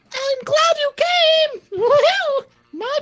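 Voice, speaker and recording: A squeaky, extremely high-pitched, put-on character voice. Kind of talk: comic overacting. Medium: game stream. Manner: haughty, prim, coolly menacing.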